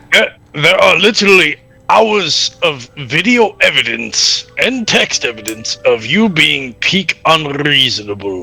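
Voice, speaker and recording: Faint music plays behind a man doing a put-on character voice at a fairly high pitch and a fairly slow pace. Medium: game stream. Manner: dry, deadpan.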